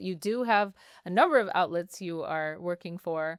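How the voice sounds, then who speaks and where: An animated woman's voice with lively intonation, on a very clean recording with a silent background. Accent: American. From United States, Iranian heritage. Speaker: journalist, podcast co-host. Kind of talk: casual chat.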